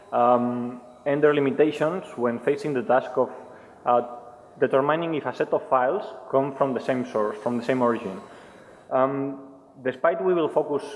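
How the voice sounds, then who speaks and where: A man talks at a moderate pace in a Spanish accent, with noticeable background noise behind him. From Spain. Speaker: penetration tester presenting at a security conference. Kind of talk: conference talk. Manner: hesitant, many fillers.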